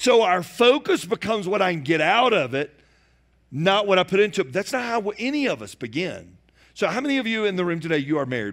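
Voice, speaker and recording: In a Southern US accent, a man talks very fast in a high voice. His pitch swings very widely. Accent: Southern American. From US South, Georgia near Atlanta. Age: 40s. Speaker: pastor. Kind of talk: sermon. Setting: church.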